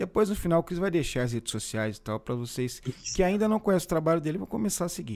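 A very fast pace with very wide pitch swings. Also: man, high pitch for a man. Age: 40s. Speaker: podcast host. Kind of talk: casual chat. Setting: live stream.

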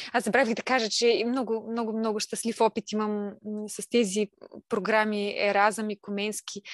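In a dry, close sound with no echo, a woman talks at a moderate pace in a fairly high voice with monotone, flat intonation. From Bulgaria, Silistra region. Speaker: stay-at-home mother and craft maker. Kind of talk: casual interview.

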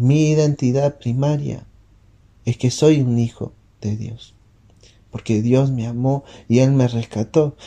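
At a very slow pace, a man speaks in a somewhat breathy, dark and mellow voice. His medium pitch holds a fairly even intonation. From Uruguay. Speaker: missionary. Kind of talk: devotional talk.

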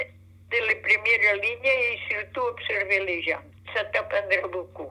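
A woman is speaking. Her pace is very slow. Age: 80s+. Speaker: grandmother. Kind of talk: casual chat.

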